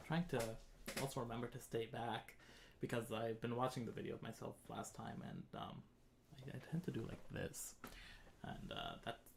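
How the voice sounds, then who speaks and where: Soft-spoken and somewhat breathy, a man talks at a moderate pace with long, frequent pauses and ordinary pitch variation over noticeable background noise. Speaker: composer streaming a live composition show. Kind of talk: live stream tutorial. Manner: halting, many fillers. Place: home room.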